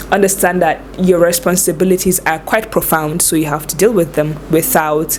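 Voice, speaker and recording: A woman's fairly low voice at a moderate pace, fairly even in intonation, with noticeable background noise. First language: not English. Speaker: lifestyle vlogger. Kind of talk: advice vlog. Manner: casual, conversational.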